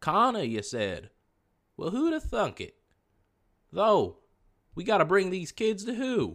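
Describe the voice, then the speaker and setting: A man uses a put-on character voice, drawling at a high pitch and a fairly slow pace. Long, frequent pauses mark the very clean recording with its silent background. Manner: drawling, laid-back.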